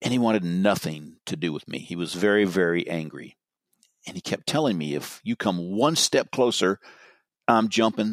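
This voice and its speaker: A man with an American accent and an ordinary speaking voice talks at a moderate pace and fairly low pitch, with lively intonation, in a very clean recording with a silent background. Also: dry, close sound with no echo. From US West Coast, Marin County, California. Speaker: retired police sergeant and crisis negotiator. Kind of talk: interview.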